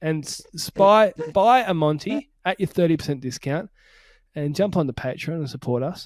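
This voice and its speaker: The speaker has an Australian accent and lively intonation at a moderate pace. The sound is dry and close, with no echo. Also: man. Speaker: podcast host. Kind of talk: casual chat. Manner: mumbling.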